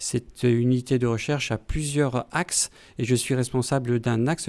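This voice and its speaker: A man speaks at a moderate pace and a medium pitch. The sound is dry and close with no echo, on a very clean recording with a silent background. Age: 60s. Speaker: pediatrician and physiology professor. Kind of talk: interview. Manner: halting, many hesitations.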